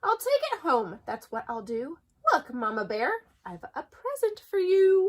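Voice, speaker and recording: Putting on a character voice, a woman speaks at a moderate pace with an extremely high pitch and very wide pitch swings. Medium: read story. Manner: cheerful.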